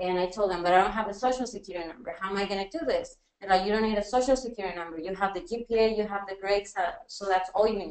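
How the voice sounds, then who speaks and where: Her words come at a very fast pace. The woman's pitch is medium, with ordinary variation. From Mexico (Jalisco). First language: Spanish. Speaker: teacher. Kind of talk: personal testimony on a panel. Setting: university workshop with audience, webinar.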